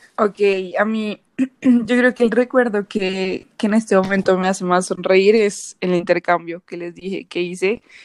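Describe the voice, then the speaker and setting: A woman's ordinary speaking voice, medium in pitch, at a fairly slow pace, with fairly even intonation and a dry, close sound with no echo. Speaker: university student, podcast co-host. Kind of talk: casual chat.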